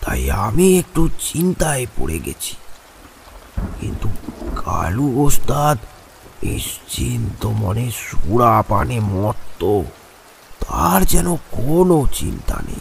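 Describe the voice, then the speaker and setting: A man's cartoonish character voice at a medium pitch and a very slow pace. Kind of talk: horror story narration. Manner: slow, dramatic, suspenseful.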